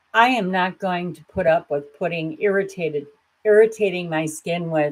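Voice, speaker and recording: A woman's fairly low-pitched, fairly slow delivery in an ordinary speaking voice, with ordinary pitch variation. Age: 60s. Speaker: grief support video host. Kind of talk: personal vlog talk. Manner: candid, conversational.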